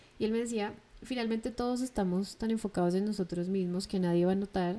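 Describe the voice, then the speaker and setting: At a fairly quick pace, a woman speaks in a medium pitch with a dark, mellow tone and fairly even intonation. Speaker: podcast host. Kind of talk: solo monologue.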